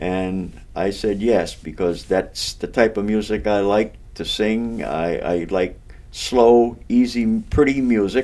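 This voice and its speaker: At a very slow pace, a man speaks in an eastern Massachusetts accent with a fairly low pitch, a dark, mellow tone and ordinary pitch variation. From Massachusetts, Amesbury area. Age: 70s. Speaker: local elder and amateur singer. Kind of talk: casual interview. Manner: halting, self-correcting.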